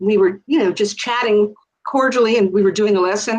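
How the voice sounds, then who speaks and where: Ordinary pitch variation runs through this woman's normal speaking voice. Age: 60s. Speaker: retired teacher. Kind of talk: interview conversation.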